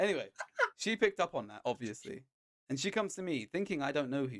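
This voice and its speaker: A man with a British accent talks at a very fast pace with very wide pitch swings and long, frequent pauses, in a dry, close sound with no echo. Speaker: podcast co-host; chef. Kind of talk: casual chat. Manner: animated.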